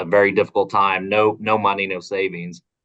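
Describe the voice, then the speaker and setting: A man with an Oklahoma accent, a bright, sharp tone, a fairly low pitch and a fairly quick pace. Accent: Oklahoma accent, noticeable. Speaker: advocacy organization policy director. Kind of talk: recorded interview. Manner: casual, many fillers and repetitions.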